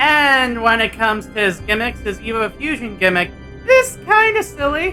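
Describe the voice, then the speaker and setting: The talking proceeds at a moderate speed. Behind it, music plays. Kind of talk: toy review. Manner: casual.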